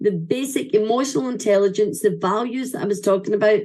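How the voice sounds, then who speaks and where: Speaking with a Scottish accent, a woman has a fairly high pitch and an animated tone. Her pace is moderate and her pitch variation ordinary. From Scotland. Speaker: event speaker. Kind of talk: ceremony speech.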